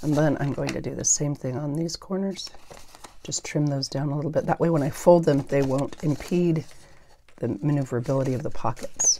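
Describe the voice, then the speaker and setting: A woman speaks at a fairly quick pace in a very deep, low pitch with ordinary pitch variation. Light background noise can be heard. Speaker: paper craft YouTuber. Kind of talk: crafting tutorial. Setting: home craft room with clip-on microphone. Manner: mumbles at times; casual, rambling. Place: home room.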